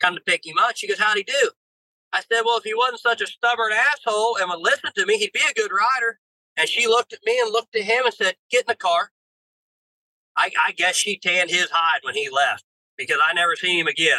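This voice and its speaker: Raised and projected, the voice races at a very fast pace with ordinary pitch variation in a dry, close sound with no echo. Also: man, high pitch for a man. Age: 30s. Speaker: ATV racer and riding coach. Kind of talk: casual chat.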